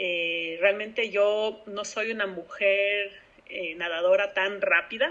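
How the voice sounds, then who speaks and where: With fairly even intonation, a woman talks at a very slow pace and a medium pitch. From Ecuador. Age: 30s. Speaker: open-water swimmer. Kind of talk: interview. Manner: halting.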